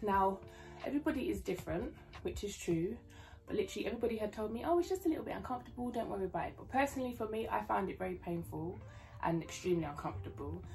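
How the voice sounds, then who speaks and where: Someone with a British accent talks very fast and quietly. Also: woman. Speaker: YouTube vlogger, new mother. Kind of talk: casual vlog storytelling. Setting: home, filming with laptop. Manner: talking quietly.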